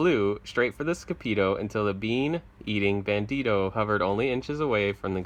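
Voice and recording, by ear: A passage is read aloud here in a natural voice.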